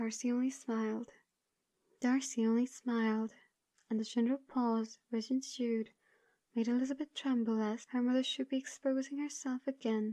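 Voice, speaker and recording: This soft-spoken woman has a high pitch, a dark, mellow and soothing tone, and monotone, flat intonation, recorded with a dry, close sound and no echo. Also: moderate pace, very even loudness. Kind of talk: audiobook reading. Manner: soothing, soft-spoken.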